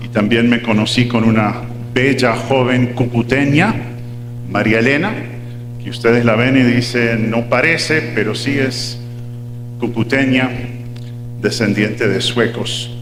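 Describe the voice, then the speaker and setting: Amid noticeable background noise and audible room echo, a man speaks at medium pitch in a monotone, flat way, fairly slowly, with long, frequent pauses. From Uruguay (Montevideo), son of American missionaries. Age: 60s. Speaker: pastor. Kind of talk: sermon.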